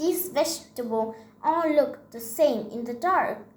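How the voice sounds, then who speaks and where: Putting on a character voice, a woman speaks fairly slowly with a high pitch and lively intonation. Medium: read story. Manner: stammering, fearful.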